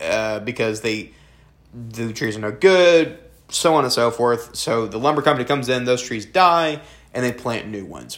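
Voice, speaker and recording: This man speaks with a Southern US accent at a moderate pace. His pitch varies in an ordinary way. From US South. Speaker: film review podcast host. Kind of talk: casual chat.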